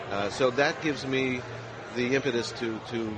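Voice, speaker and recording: A man with an American accent speaks at a moderate pace in a monotone, flat delivery. Noticeable background noise and audible room echo fill the recording. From Los Angeles, California. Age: 60s. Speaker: radio host and dispensary worker. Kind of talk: interview. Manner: halting.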